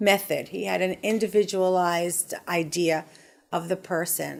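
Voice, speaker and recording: An unremarkable speaking voice with fairly even intonation, on a very clean recording with a silent background. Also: woman. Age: 60s. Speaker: patient. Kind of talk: testimony.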